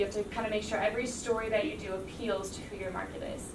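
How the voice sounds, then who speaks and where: A woman's fairly high voice in an American accent at a very fast pace, with audible room echo and noticeable background noise. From US Midwest, Cincinnati, Ohio. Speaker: TV news anchor. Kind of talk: classroom talk. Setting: classroom. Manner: casual, filler-heavy.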